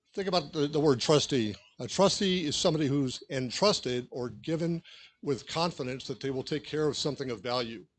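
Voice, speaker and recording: A man with an American accent talks at a fairly high pitch. His pitch variation is ordinary, and the background is quiet. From Southern California (Los Angeles County). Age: 60s. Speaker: school board candidate, retired police officer. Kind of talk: candidate forum speech. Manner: fast.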